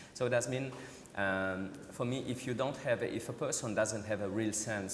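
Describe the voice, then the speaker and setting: With audible room echo and noticeable background noise, a man speaks at a fairly quick pace with ordinary pitch variation. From Switzerland, Vallée de Joux. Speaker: watchmaker. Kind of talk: panel discussion. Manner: halting.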